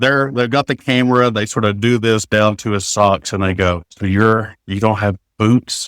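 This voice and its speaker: A man's fairly low voice, very cleanly recorded against a silent background, with a dry, close sound and no echo. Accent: Appalachian. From Kentucky, Appalachia. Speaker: teacher and author. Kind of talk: casual chat. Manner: animated storytelling.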